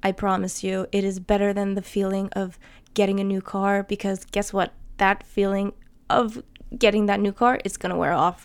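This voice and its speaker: A woman speaks at a moderate pace with a medium pitch and a New Jersey accent. The recording is very clean, with a silent background. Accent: New Jersey American. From New Jersey, US. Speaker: podcaster. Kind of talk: solo podcast monologue, casual. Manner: casual, chatty, enthusiastic.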